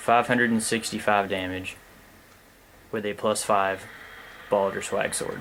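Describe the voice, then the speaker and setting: A man speaks quietly at a fairly low pitch. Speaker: gaming commentator. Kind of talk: let's play commentary. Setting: at home late at night.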